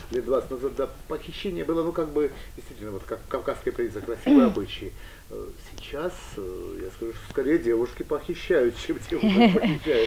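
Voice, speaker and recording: Amid light background noise, a man talks at a moderate pace with big swings in loudness. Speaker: talk show host. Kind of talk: interview. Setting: tea house. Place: cafe.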